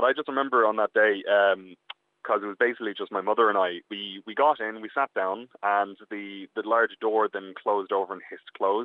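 A man with an Irish accent, fairly low in pitch, at a fairly quick pace. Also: fairly even intonation. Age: young. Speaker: guest's son. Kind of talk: phone interview. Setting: phone call. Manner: halting.

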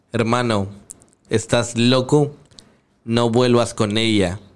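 The intonation is fairly even. The pace is very slow. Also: man. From Santa Catarina, Monterrey area, Mexico. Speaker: freestyle rapper. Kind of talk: casual chat.

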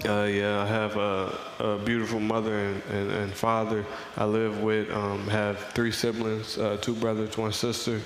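With an American accent and a fairly low pitch, a man speaks at a fairly slow pace in a monotone, flat intonation, his loudness very even over noticeable background noise. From Missouri. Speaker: college football player. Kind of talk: radio interview. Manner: casual, young.

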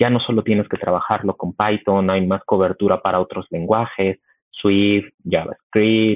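Speech moves at a fairly slow pace. It has monotone, flat intonation. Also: man. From Mexico City. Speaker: tech company engineer. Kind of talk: casual chat.

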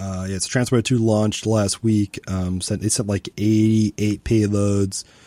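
A man speaks at a moderate pace with hardly any pauses, his pitch fairly low and his intonation monotone and flat, in a dark, mellow tone. The recording is very clean with a silent background, and the sound is dry and close with no echo. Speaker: space news podcast host. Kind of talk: casual chat.

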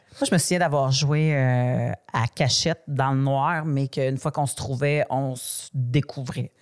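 The speech goes at a very slow pace with hardly any pauses and fairly even intonation. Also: woman, very deep, low pitch for a woman. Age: 40s. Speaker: podcast host. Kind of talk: casual chat.

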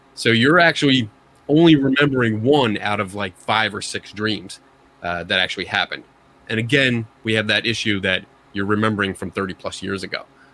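Fairly quick speech from a man, fairly low in pitch, with ordinary pitch variation. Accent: Philadelphia. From Philadelphia. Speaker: paranormal investigator guest. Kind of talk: casual chat. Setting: video call.

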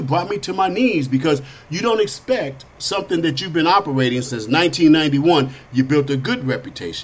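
Somewhat breathy and animated, a man speaks at a moderate pace and a fairly high pitch with ordinary pitch variation. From Chicago, south side. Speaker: podcast host. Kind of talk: political talk show monologue.

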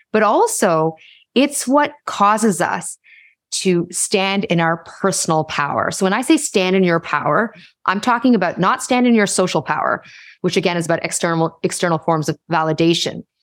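A woman with a Canadian accent speaks in a plain, everyday voice at medium pitch and a moderate pace. Her loudness stays very even on a very clean recording with a silent background. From Canada, Toronto. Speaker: leadership speaker and author. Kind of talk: interview conversation.

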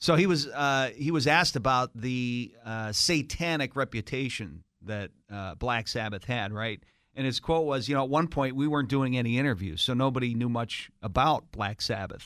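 On a very clean recording with a silent background, a man with a normal speaking voice talks at a moderate pace, at medium pitch with ordinary pitch variation. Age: 50s. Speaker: morning radio host. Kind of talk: morning radio banter.

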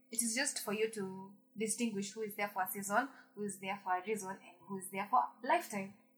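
A woman at a very fast pace, medium pitch and ordinary pitch variation, with music in the background. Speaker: podcast co-host. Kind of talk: casual chat.

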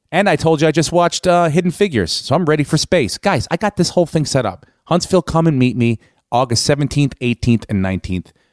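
A man with an American accent and an unremarkable speaking voice talks at a fairly quick pace with hardly any pauses, his pitch fairly high and his intonation lively. The very clean recording has a silent background and a dry, close sound with no echo. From US East Coast. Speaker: comedian and podcast host. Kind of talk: casual podcast monologue and interview.

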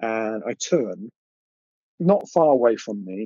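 Male voice in an English accent, medium pitch with ordinary pitch variation. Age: 50s. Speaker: artist and witness of paranormal encounters. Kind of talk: interview recounting personal encounters. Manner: halting.

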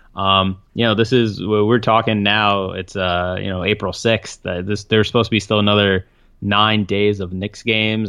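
At a fairly quick pace, a man talks in a fairly low pitch with an ordinary speaking voice. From Brooklyn, New York (moved to US mid-nineties). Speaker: sports reporter. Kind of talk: casual interview. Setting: Skype call.

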